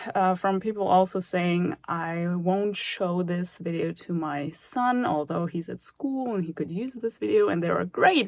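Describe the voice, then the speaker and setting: A woman speaks in a German accent. Her pace is fairly slow. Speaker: math tutor YouTuber. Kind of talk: casual vlog talk to viewers. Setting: studio.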